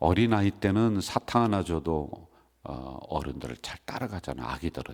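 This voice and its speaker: A man's very deep, low pitch with vocal fry. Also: very clean recording, silent background. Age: old. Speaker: senior pastor. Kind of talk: sermon. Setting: church.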